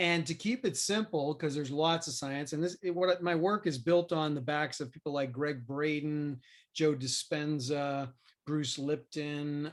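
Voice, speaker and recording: A man with an American accent uses a normal speaking voice at a fairly high pitch, with fairly even intonation and a fairly slow pace. The recording is very clean, with a silent background. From US Northeast, Queens, New York City. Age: 50s. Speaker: business coach and speaker. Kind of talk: podcast interview.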